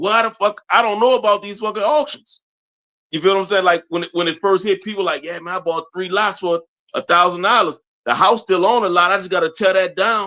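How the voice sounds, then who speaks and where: Raised and projected, a man's high-pitched voice sounds bright and sharp as he speaks at a fairly quick pace. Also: ordinary pitch variation. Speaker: podcast host. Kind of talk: casual chat.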